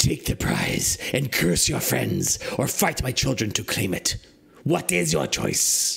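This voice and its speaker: Growling in a put-on character voice, a man speaks fairly slowly at a medium pitch. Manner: snarling, menacing.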